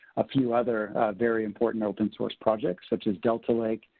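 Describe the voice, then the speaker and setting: Speaking at a moderate pace, a man with an American accent uses a medium pitch. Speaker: tech company sales executive. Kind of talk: webinar presentation.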